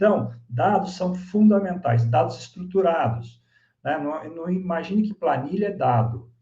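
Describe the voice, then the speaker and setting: Audible room echo surrounds a man with a dark, mellow, somewhat breathy tone. He speaks at a moderate pace with lively intonation. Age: 60s. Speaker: business consultant and speaker. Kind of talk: online masterclass presentation.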